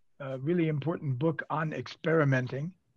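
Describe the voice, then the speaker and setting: Somewhat breathy, the man's voice sits at a fairly high pitch with fairly even intonation. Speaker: professor. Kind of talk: panel Q&A question.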